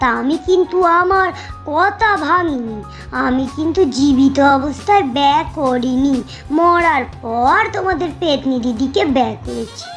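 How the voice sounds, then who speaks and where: Over clear music in the background, a woman in a cartoonish character voice speaks at a very slow pace. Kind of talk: comic cartoon storytelling. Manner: chatty, colloquial, filler-heavy.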